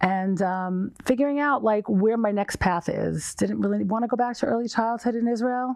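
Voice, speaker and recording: This woman, with an American accent, has an unremarkable speaking voice, fairly high in pitch, very even in loudness and with hardly any pauses. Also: ordinary pitch variation, moderate pace. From US Northeast, New York. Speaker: nonprofit director. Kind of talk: interview.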